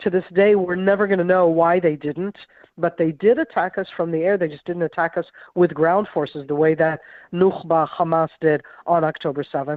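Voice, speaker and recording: A woman talks with an American accent, her pitch fairly low and her intonation fairly even. She has an ordinary speaking voice and keeps a moderate pace. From grew up in Israel, American-born. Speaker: retired military intelligence officer. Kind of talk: radio interview.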